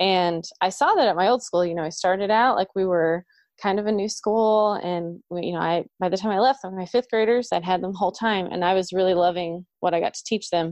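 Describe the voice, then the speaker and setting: An ordinary speaking voice from a woman, medium in pitch, fairly quick in pace, with fairly even intonation. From Oklahoma. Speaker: elementary music teacher. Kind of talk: casual chat.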